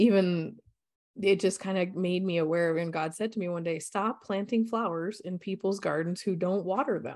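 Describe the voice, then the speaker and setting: With an American accent, a woman in an unremarkable speaking voice talks at a moderate pace, fairly low in pitch and with fairly even intonation, against a quiet background. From Colorado, US. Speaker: coach and energy healer. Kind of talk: interview.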